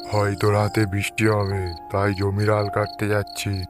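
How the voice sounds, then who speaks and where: A man puts on a gruff character voice, pitched fairly low and delivered at a fairly slow pace. Music plays clearly in the background. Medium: cartoon. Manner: gruff, curt.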